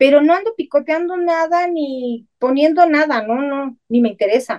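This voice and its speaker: A woman's high voice with lively intonation at a moderate pace, dry and close with no echo. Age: 50s. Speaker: spiritual channeler and psychic. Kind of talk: interview.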